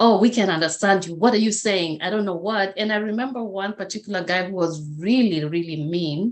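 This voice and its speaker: Against a quiet background, a woman with a Kenyan accent speaks at a medium pitch. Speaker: motivational speaker. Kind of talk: interview.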